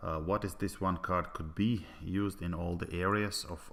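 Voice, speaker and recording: A man with a Latvian accent talks at a fairly slow pace in a very deep, low pitch. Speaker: business presenter. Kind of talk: sales pitch. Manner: halting, many filler sounds.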